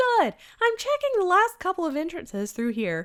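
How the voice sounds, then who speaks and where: A put-on character voice, squeaky and extremely high, speaks at a moderate pace. The recording is very clean, its background silent. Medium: game stream.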